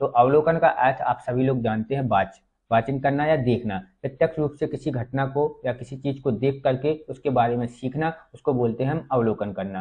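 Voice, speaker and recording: At a moderate pace, a man talks at a medium pitch. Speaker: online exam-prep teacher. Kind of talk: tutorial lecture. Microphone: faulty mic, distorting at higher volume.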